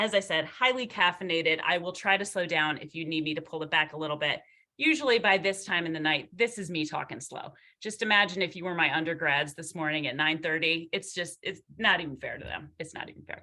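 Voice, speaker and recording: A very fast, bright, sharp delivery with big swings in loudness and ordinary pitch variation. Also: woman, fairly low pitch for a woman. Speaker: marketing professor. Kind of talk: lecture.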